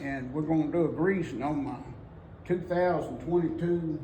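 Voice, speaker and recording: Using a Southern US accent, a man speaks at a fairly slow pace with a fairly high pitch. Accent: Southern American. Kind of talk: casual talk to camera. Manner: folksy, rambling.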